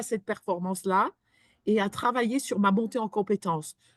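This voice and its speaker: At a fairly slow pace, a woman speaks at medium pitch with ordinary pitch variation over a quiet background. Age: 60s. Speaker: employment support professional. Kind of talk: webinar panel discussion. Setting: online webinar. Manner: hesitant, many fillers.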